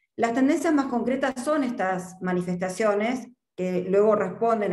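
A woman talks fairly slowly, her pitch varying in an ordinary way, while the room gives back an audible echo. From Argentina. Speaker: market research consultant. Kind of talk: presentation. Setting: video call. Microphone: video call.

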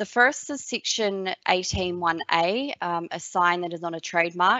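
Speaking at a fairly slow pace, a woman uses an ordinary speaking voice pitched fairly low. The sound is dry with no echo against a quiet background. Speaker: trademark attorney. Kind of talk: webinar presentation. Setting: online webinar. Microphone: webcam.

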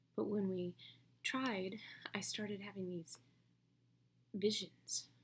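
A woman talks at a fairly slow pace, her voice somewhat breathy. Light background noise is present. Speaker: actor. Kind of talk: dramatic monologue performance. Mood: distressed, emotional. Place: home room. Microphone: webcam.

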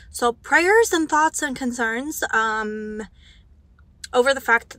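A woman with a bright, sharp tone and ordinary pitch variation is heard in a dry recording with no echo. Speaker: book vlogger. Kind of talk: casual vlog chat. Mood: excited, chatty. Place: car. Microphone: handheld.

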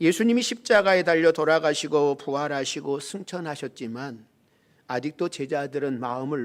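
A man speaks in an ordinary speaking voice at a moderate pace, with fairly high pitch and ordinary pitch variation. The recording is very clean, with a silent background. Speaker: pastor. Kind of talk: sermon. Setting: church.

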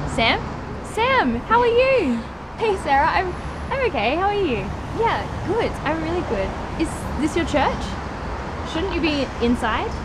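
The speech moves at a fairly slow pace with long, frequent pauses and noticeable background noise. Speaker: actor in drama scene. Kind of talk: scripted dialogue. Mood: friendly, slightly awkward. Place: street.

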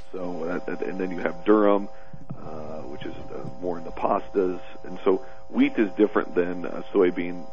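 A man's very deep, low voice at a moderate pace, with big swings in loudness and faint music in the background. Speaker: guest. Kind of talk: interview answer.

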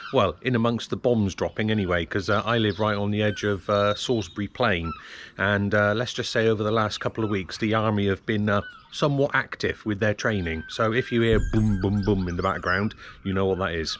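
An unremarkable speaking voice with fairly even intonation comes through over light background noise. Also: man, fairly low pitch for a man. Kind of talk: tutorial. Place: street. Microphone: phone near.

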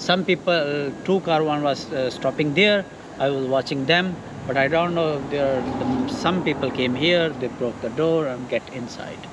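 A man with a Pakistani accent speaks at a moderate pace in a fairly high pitch, with ordinary pitch variation and noticeable background noise. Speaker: security guard. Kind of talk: casual chat; interview answer. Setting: outdoors. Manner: halting. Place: street.

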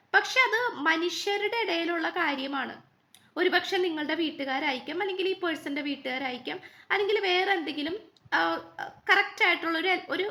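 Extremely high-pitched and bright, sharp in tone, a woman speaks in a raised, projected voice. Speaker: tarot card reader. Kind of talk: tarot reading monologue.

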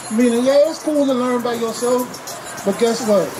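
A man talks while music plays behind him. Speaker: street preacher. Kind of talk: street sermon. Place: street. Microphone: handheld.

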